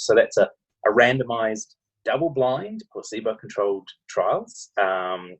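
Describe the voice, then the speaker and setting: Speaking at a fairly quick pace, a man talks with a New Zealand accent. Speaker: medical researcher. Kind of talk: interview. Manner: hesitant, many fillers.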